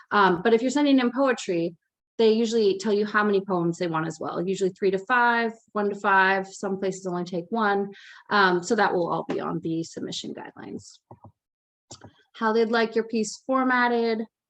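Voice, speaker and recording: Here a woman speaks in a medium pitch. Her pitch variation is ordinary. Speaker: poet and teaching artist. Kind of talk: workshop presentation. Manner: fast.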